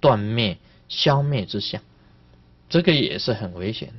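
The intonation rises and falls in a lively way. The speaker is a man. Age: old. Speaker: Buddhist master giving sutra teaching; Buddhist teacher. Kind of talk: dharma lecture. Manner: animated. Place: hall.

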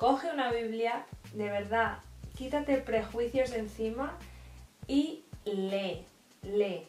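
A woman's fairly high voice with ordinary pitch variation at a very slow pace, with audible room echo and light background noise. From Spain. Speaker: YouTuber; vlogger. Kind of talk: faith vlog monologue. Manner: hesitant with repetitions. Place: home room. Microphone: camera far.

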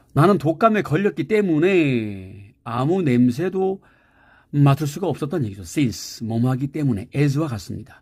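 Here a man speaks at a fairly slow pace and fairly high pitch, with very wide pitch swings. The recording is very clean and the background silent. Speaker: English teacher. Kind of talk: lecture.

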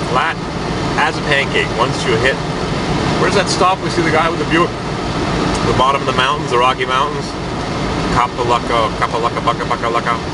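Loud background noise accompanies speech at a fairly quick pace. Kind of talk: casual vlog chat. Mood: relaxed, jokey. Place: car. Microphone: phone near.

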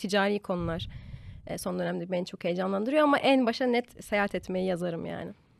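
A woman speaks very fast with lively intonation. The recording is very clean and dry, close-sounding with a silent background and no echo. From Turkey, Eskişehir. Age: 20s. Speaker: lifestyle content creator. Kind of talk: casual chat.

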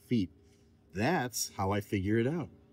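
A man speaks in a dark, mellow tone, and the sound is dry with no echo. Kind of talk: tutorial. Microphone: phone near.

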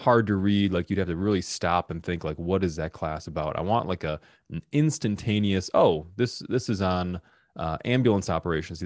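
With a very deep, low pitch and ordinary pitch variation, a man speaks at a fairly quick pace against a quiet background, the sound dry with no echo. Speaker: workshop host. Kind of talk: tutorial. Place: studio. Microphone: studio mic.

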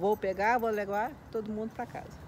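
A woman speaks in a dark, mellow tone at a moderate pace. Light background noise sits behind her. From Minas Gerais, Brazil (Belo Horizonte); Minas Gerais, Brazil. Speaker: school van driver; interviewee. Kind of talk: casual interview. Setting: at a relative's home in São Paulo. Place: garden.

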